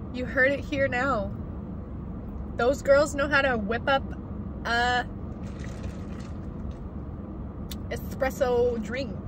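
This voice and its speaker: Noticeable background noise sits behind a dry sound with no echo. A woman with a high pitch speaks at a very slow pace, with long, frequent pauses. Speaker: vlogger. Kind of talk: casual vlog chat. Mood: relaxed, chatty. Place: car. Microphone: phone near.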